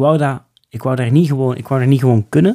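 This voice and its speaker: A man talks fairly quickly at a medium pitch. His tone is dark and mellow. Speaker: bushcraft instructor. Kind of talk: casual interview. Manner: animated.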